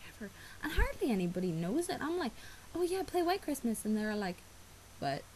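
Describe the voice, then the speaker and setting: A woman talks with an Irish accent. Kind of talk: casual talk to camera. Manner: hesitant, rambling.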